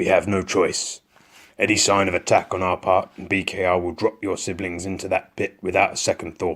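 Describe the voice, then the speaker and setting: Using a put-on character voice, a man sounds gruff and raspy at a fairly low pitch, moving at a fairly quick pace. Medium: read story. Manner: gruff, commanding.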